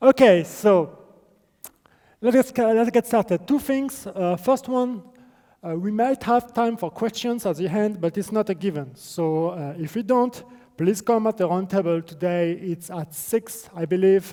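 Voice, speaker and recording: With a strong non-native accent, a man speaks fairly slowly in a high, dark, mellow voice with ordinary pitch variation. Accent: strong non-native accent, self-described. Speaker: game developer presenter. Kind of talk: conference presentation. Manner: hesitant, many fillers.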